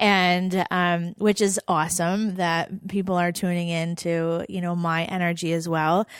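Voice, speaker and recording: A woman's fairly low, monotone voice with flat intonation and hardly any pauses. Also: fairly slow pace. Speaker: podcast co-host. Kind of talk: casual chat. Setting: studio with live audience.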